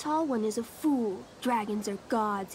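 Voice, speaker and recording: A woman growls in a put-on character voice. Clear background noise can be heard. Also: fairly high pitch for a woman, fairly slow pace. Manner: growling, fierce.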